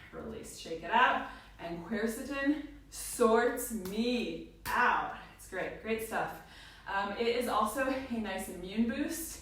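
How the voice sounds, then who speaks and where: Over noticeable background noise and audible room echo, the speaker talks at a very slow pace with ordinary pitch variation and big swings in loudness. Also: woman, fairly high pitch for a woman. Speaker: fitness instructor. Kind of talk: workout instruction with casual chat. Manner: chatty.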